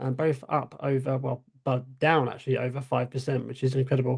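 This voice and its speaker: With a somewhat breathy voice, a man speaks at a fairly quick pace in a medium pitch, his intonation monotone and flat. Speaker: stock market show co-host. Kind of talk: livestream market analysis. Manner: casual, filler-heavy.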